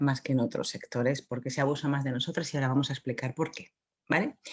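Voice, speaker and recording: A soft-spoken woman talks at a very fast pace in a very deep, low voice. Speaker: psychologist giving a conference talk. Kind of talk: conference talk.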